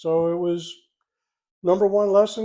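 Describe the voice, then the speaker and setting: A man with a Philadelphia accent, high-pitched yet dark and mellow in tone, at a very slow pace in a very clean recording with a silent background. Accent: Philadelphia-area American. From US, Delaware County, Pennsylvania. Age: 60s. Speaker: retiree, host's father. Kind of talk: casual chat.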